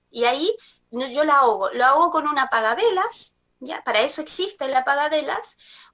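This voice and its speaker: A raised, projected voice with a bright, sharp tone moves at a fairly quick pace. Its pitch swings very widely. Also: woman, high pitch for a woman. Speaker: spiritual energy therapist. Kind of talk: TV talk show segment. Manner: halting, many fillers.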